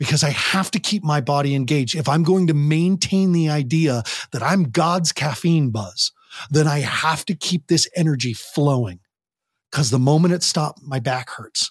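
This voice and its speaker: Somewhat breathy delivery at a moderate pace. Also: man, dry, close sound with no echo. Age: 50s. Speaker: parent coach and teen addiction interventionist. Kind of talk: interview. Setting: standing while recording. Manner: animated.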